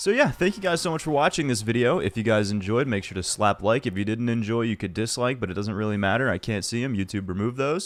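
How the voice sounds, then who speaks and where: A man's animated, medium-pitched voice at a very fast pace, with very wide pitch swings. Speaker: gaming YouTuber. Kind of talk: video game review commentary. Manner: casual, rambling, animated.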